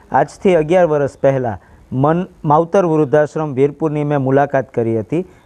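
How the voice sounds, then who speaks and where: The man's voice sits fairly high in pitch, with a dark, mellow tone. His pitch varies in an ordinary way. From Saurashtra, Gujarat (Junagadh district). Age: young. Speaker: old age home founder. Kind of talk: interview.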